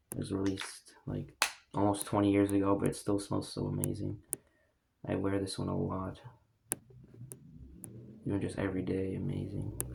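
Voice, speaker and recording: Long pauses come often, though the talking itself holds a moderate pace. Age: young. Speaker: fragrance collector. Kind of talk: casual talk to camera.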